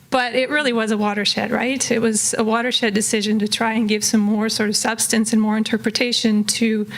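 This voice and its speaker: Over noticeable background noise, a woman with a fairly high pitch talks at a fairly quick pace in a monotone, flat intonation. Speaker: political scientist and policy consultant. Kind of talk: conference presentation. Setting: room with live audience.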